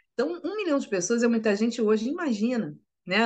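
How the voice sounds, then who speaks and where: A woman with a fairly high pitch talks with very wide pitch swings. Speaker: writer and journalist. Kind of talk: interview.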